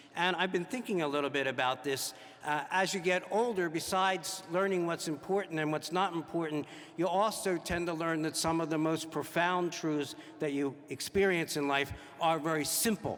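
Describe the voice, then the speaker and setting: Over noticeable background noise, a man talks at a moderate pace with high pitch and ordinary pitch variation. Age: 60s. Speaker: priest. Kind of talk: homily.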